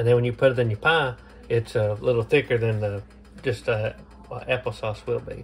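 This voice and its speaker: Somewhat breathy male voice at a fairly quick pace. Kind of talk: cooking tutorial. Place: kitchen. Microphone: camera far.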